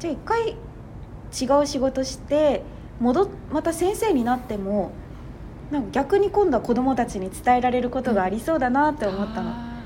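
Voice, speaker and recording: Speaking at a fairly quick pace, the voice swings very widely in pitch and breaks into long, frequent pauses over noticeable background noise. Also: woman, high pitch for a woman. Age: 20s. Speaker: TV announcer. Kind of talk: casual chat.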